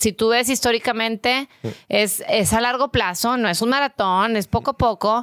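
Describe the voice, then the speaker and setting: The speaker talks at a fairly slow pace with ordinary pitch variation in an unremarkable speaking voice. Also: woman, dry, close sound with no echo. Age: 40s. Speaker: real estate investor. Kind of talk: interview.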